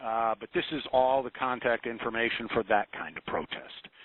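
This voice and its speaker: A man speaks at a fairly slow pace with a medium pitch. His intonation stays fairly even in an unremarkable speaking voice. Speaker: government presenter on contracting. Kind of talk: webinar presentation. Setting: web conference.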